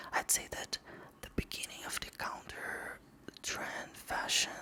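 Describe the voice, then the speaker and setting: A whisper over noticeable background noise, fairly slow in pace. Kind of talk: whispered ASMR magazine reading with casual commentary. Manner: whispered, soft.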